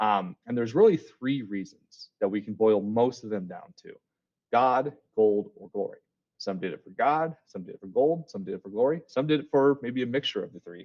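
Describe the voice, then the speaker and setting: Lively intonation and big swings in loudness mark this man's medium-pitched voice. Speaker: school teacher. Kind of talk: recorded class lesson. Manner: casual, filler words; fast.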